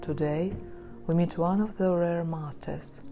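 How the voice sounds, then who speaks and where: Over background music, a woman speaks at a fairly slow pace. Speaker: therapist. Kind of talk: documentary narration.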